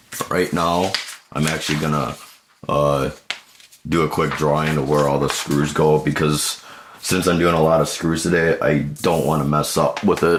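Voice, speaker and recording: A man speaks with a very deep, low pitch. His intonation is monotone and flat over noticeable background noise. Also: moderate pace. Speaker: computer repair technician. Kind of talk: tutorial. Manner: casual, halting.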